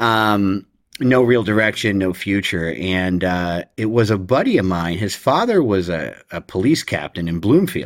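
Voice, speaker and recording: An American-accented man speaks fairly slowly with hardly any pauses, in a fairly low pitch with ordinary pitch variation. His is an unremarkable speaking voice, captured in a very clean recording with a silent background. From New Jersey, Ocean County. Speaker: former criminal defense attorney in recovery. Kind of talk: interview, personal testimony.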